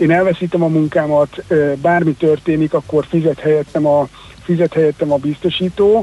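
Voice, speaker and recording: A man speaks at a fairly quick pace in a fairly high voice with fairly even intonation, and there is noticeable background noise. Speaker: financial expert. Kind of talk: radio interview.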